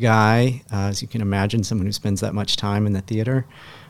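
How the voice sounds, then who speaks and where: Here a man speaks with an Upper Midwest accent. His voice is fairly low, and his intonation stays fairly even. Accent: Upper Midwest American. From Wisconsin (Appleton area). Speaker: magazine co-founder. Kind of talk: interview conversation. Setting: studio.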